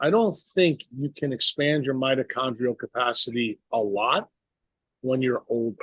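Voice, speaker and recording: A man with a normal speaking voice, lively intonation and a moderate pace, in a dry, close sound with no echo. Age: 60s. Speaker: neurosurgeon. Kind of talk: podcast interview.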